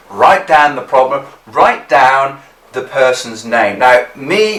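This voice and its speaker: Over noticeable background noise, a man with an English accent speaks at a fairly slow pace with very wide pitch swings. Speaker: business skills instructor. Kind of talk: tutorial.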